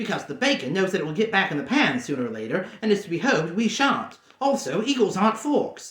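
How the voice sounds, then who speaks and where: A man puts on a character voice with a high pitch. He rushes at a very fast pace with hardly any pauses. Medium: read story.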